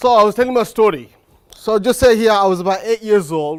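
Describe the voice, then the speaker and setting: A man with a Birmingham accent speaks at a high pitch with lively intonation. The recording is very clean, with a silent background. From Birmingham, England. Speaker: motivational speaker. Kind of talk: motivational talk to a live audience.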